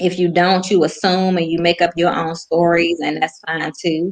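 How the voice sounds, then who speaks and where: A woman speaks with an American accent. Her pitch is fairly low and her pace moderate. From Washington DC area. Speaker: guest on women's faith talk show. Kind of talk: casual faith interview.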